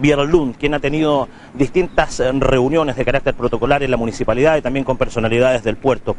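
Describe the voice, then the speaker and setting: A man's fairly high voice comes through with noticeable background noise. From Chile. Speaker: local reporter. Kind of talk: interview.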